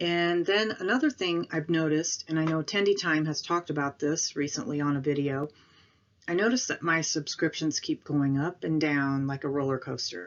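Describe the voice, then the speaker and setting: A woman's very deep, low voice with an American accent, at a moderate pace and with ordinary pitch variation. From northern Illinois, farm town south of Chicago. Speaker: YouTuber, retail investor. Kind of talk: casual vlog.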